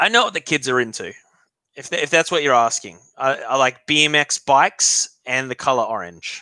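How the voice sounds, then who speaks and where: With a bright, sharp tone, a man speaks at a fairly high pitch and a moderate pace with ordinary pitch variation, the sound dry and close with no echo. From Australia, Victoria. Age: 30s. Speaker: hockey live streamer. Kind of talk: live reaction stream chat. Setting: live stream. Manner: casual, chatty with hesitations.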